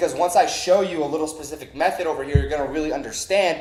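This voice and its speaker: Noticeable background noise runs behind a man speaking at a very fast pace in a fairly high pitch. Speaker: online marketing instructor. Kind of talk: tutorial.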